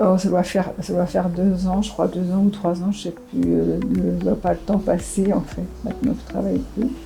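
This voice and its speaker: A woman's voice at a moderate pace with hardly any pauses, music in the background. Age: 70s. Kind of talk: interview testimony. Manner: halting, many hesitations and restarts.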